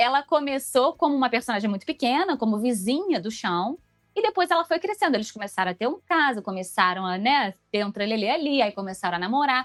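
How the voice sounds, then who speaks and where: Fairly quick speech with hardly any pauses and very wide pitch swings, dry and close with no echo, music playing in the background. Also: woman, high pitch for a woman. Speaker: voice actress. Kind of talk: interview. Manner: fast.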